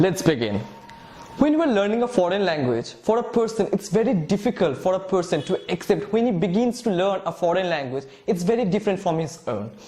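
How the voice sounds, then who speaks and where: Noticeable background noise sits behind this recording. A man speaks at a high pitch with lively intonation. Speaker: English teacher. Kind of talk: lecture. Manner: halting.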